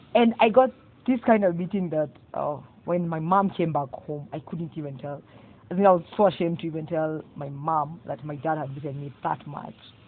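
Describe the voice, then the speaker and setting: A woman with a very deep, low voice talks at a moderate pace, her pitch varying in an ordinary way while her loudness swings widely. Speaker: guest sharing personal story. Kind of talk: testimony.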